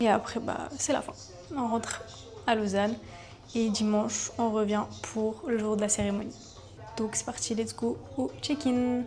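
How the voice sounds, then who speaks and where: Music plays in the background. The speech is fairly slow, with long, frequent pauses. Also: woman, fairly high pitch for a woman, fairly even intonation. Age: 20s. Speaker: dancer. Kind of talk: casual vlog talk to camera.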